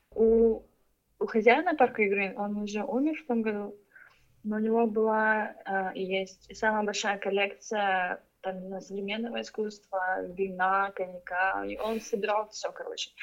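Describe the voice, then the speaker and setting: In an unremarkable speaking voice, the speaker moves at a fairly slow pace with fairly even intonation. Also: woman, medium pitch for a woman. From Ukraine. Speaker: artist and marketer. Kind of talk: casual interview chat.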